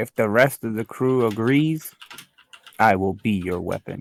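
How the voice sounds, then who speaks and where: Using a put-on character voice, a man speaks at a medium pitch. His pace is moderate. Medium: actual play. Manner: formal, clipped.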